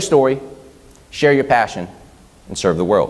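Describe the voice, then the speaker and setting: Vocal fry marks this man's medium-pitched voice. His tone is animated and his pace moderate. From Vietnam. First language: Vietnamese. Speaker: social media marketing consultant and speaker. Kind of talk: conference talk.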